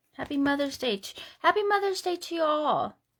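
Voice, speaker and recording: A woman talks at a moderate pace with lively intonation. Her pitch is extremely high. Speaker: craft demonstrator. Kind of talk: live craft tutorial. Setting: home craft room livestream. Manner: casual, chatty.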